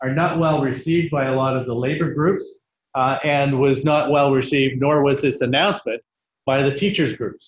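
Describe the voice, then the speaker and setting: Over light background noise and audible room echo, a man talks at a fairly high pitch with fairly even intonation. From Canada. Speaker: education network leader; conference presenter. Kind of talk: conference presentation. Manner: loud. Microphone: no microphone; webcam.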